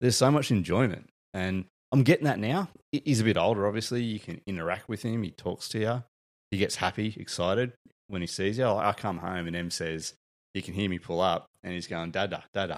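Recorded very cleanly against a silent background, a man with an Australian accent talks at a fairly quick pace in a fairly low voice with ordinary pitch variation. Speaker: father, guest on parenting podcast. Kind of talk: casual chat.

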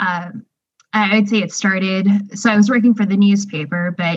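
Somewhat breathy and at medium pitch, a woman talks at a fairly slow pace with monotone, flat intonation. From Texas, Houston suburb. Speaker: newspaper editor and hiker. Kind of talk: casual interview.

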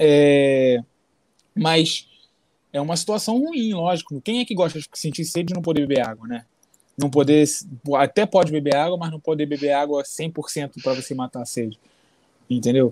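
A man's fairly high voice at a moderate pace, with ordinary pitch variation, long, frequent pauses, and a dry, close sound with no echo. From Brazil. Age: 20s. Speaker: MMA fighter. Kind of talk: casual interview chat.

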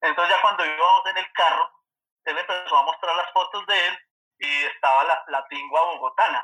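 Music sits in the background. The talking goes at a moderate pace. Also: man. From Colombia, Manizales. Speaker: birding guide. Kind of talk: casual interview chat.

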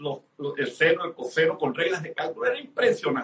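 With a bright, sharp tone, a man talks at a fairly quick pace using lively intonation. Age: 60s. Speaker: business speaker and network marketing leader. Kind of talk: interview.

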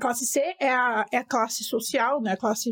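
A woman speaks in an animated tone. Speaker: economist podcast host. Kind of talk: educational monologue.

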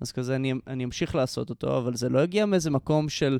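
A plain, everyday voice with ordinary pitch variation on a very clean recording with a silent background. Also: man. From Israel, Jerusalem. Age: 20s. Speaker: musician and composer. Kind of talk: casual interview.

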